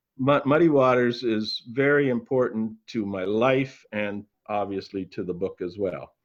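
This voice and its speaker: A man's normal speaking voice at medium pitch, with ordinary pitch variation, a fairly slow pace, hardly any pauses, and a quiet background. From Canada. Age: 60s. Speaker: retired museum executive and author. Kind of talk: interview.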